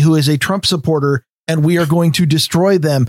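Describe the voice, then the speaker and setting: A man with an American accent uses a plain, everyday voice, fairly high in pitch with fairly even intonation, and the sound is dry and close with no echo. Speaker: podcast host. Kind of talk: casual chat.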